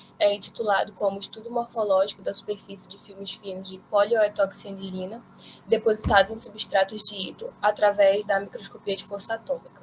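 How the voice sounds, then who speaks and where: A woman at a medium pitch, monotone and flat, at a fairly quick pace amid noticeable background noise. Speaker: graduate student presenter. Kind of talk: academic conference talk. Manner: halting, many fillers.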